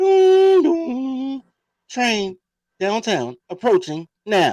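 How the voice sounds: Using a put-on character voice, a woman speaks loudly and very slowly at a high pitch, with very wide pitch swings.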